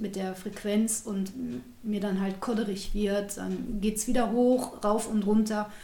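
Amid noticeable background noise and audible room echo, a woman at medium pitch speaks at a very slow pace. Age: 40s. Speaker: former geriatric nurse living with multiple sclerosis. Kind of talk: personal testimony in an interview.

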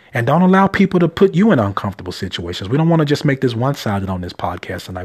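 On a very clean recording with a silent background, a man talks in an animated tone, his fairly high, somewhat breathy voice making very wide pitch swings. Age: 30s. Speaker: life coach podcaster. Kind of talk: motivational monologue.

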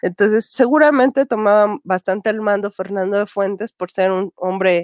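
Over a quiet background, a woman talks at a moderate pace with a dry, close sound and no echo. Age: 30s. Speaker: film commentator. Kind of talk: casual chat. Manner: halting.

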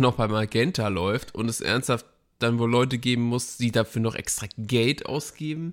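A man with a normal speaking voice at medium pitch and a moderate pace, on a very clean recording with a silent background. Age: 30s. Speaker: podcast co-host. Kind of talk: casual chat.

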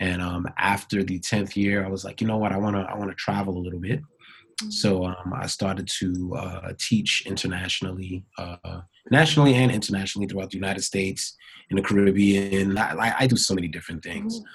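A somewhat breathy man with an American accent, fairly low pitch, fairly even intonation and a fairly quick pace. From Brooklyn, New York. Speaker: dance choreographer and professor. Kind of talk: interview.

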